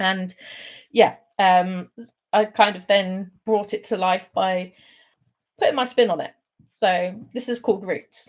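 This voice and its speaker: A woman with a southern English accent speaks at a fairly slow pace, with long, frequent pauses. Her intonation is fairly even, but her loudness swings a lot. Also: medium pitch for a woman. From England, London. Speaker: poet. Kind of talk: poetry reading; casual chat. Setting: online livestream.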